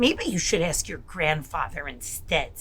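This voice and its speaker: Using a put-on character voice, a woman speaks at a moderate pace against clear background noise. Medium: read story. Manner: warm, friendly.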